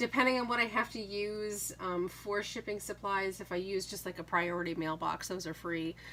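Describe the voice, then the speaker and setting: A woman with a New England accent speaks at a moderate pace in a medium pitch, her tone bright and sharp, with ordinary pitch variation. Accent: Yankee. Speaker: craft YouTuber and online seller. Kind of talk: casual chat. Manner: hesitant, many fillers.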